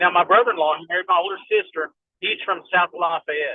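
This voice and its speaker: In a Kentucky accent, a man talks at a moderate pace with a high pitch. His intonation is monotone and flat. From southeastern Kentucky. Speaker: firearms and medical instructor. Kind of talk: casual chat.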